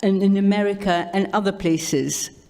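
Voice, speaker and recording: Noticeable background noise sits behind a woman's voice. She speaks at a fairly slow pace with a medium pitch. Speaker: audience member asking a question. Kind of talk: audience question. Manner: loud; halting, stumbling.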